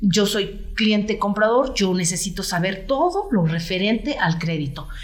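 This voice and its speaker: Audible room echo is present. The voice is a woman's. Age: 50s. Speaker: real estate agent. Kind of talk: interview conversation.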